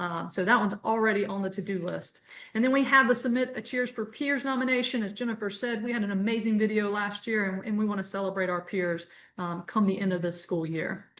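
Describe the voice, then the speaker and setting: A woman speaking at a very fast pace, medium-pitched, with ordinary pitch variation. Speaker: adult education coordinator. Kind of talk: webinar presentation.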